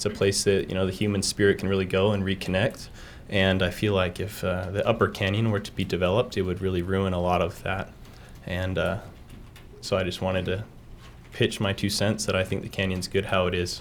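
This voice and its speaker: In a Utah accent, a man talks at a fairly quick pace. His pitch is very deep and low, with monotone, flat intonation. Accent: Utah American. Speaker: college student, public commenter. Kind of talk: public comment.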